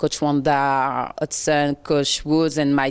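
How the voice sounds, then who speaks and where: In a French accent, a woman speaks at a very deep, low pitch on a very clean recording with a silent background. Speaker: college athlete. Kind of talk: sports interview. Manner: halting.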